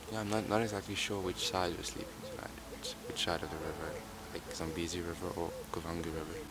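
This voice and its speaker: A man talks at a fairly quick pace with ordinary pitch variation, his dry sound with no echo set against loud background noise. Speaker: traveller vlogger. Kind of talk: casual vlog chat. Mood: relaxed, looking forward. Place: waterside. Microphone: phone near.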